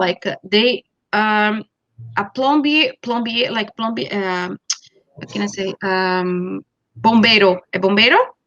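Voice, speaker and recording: With a Brazilian Portuguese accent, a woman talks at a very slow pace. Her pitch is medium and varies in an ordinary way. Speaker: college network representative. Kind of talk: presentation in an interview. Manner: halting, many fillers.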